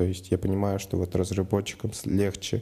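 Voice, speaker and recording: At a moderate pace, a man speaks with very deep, low pitch, a dark, mellow and somewhat breathy tone, and monotone, flat intonation. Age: 20s. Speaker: project manager. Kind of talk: personal account monologue.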